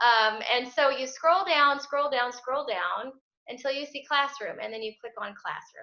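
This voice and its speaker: A woman uses a raised, projected voice at a high pitch, with big swings in loudness. Her pace is moderate and her pitch variation ordinary. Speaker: parish religious education director. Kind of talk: tutorial. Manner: casual.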